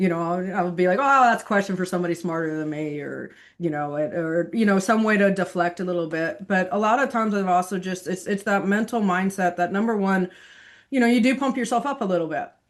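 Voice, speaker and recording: A woman's medium-pitched voice at a very fast pace, with a quiet background. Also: ordinary pitch variation. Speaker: investment executive and TV market commentator. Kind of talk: podcast interview.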